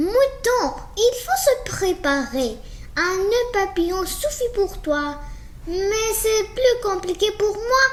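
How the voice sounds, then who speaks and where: Over clear background noise, a woman performs a put-on character voice at an extremely high pitch and a very slow pace. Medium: read story. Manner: lively, excitable.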